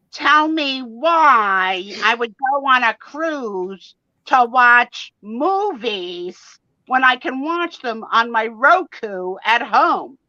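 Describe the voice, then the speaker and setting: In a put-on character voice, a woman projects a high-pitched, raised voice at a very slow pace. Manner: snarky, sarcastic.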